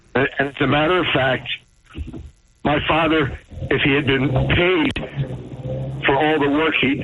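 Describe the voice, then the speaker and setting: Fairly even intonation from a man at a medium pitch, with noticeable background noise. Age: 60s. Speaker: caller. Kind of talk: call-in talk radio.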